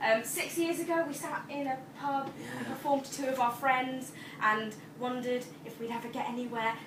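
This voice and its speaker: Over noticeable background noise, a woman speaks at a fairly quick pace in a high pitch with ordinary pitch variation. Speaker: poetry night host. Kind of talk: live event MC introduction.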